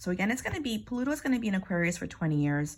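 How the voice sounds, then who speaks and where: A woman with an American accent speaks at a medium pitch, her voice somewhat breathy. Her pitch swings very widely. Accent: Bronx accent, slight, comes out at times. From New York, Bronx. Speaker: astrologer and hypnosis teacher. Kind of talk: spiritual card reading monologue. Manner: casual, halting with self-corrections.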